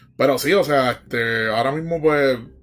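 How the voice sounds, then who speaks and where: A man speaks with a Puerto Rican accent and fairly even intonation. Music plays in the background. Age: 30s. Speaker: podcast host. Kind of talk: casual solo monologue. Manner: hesitant, many fillers.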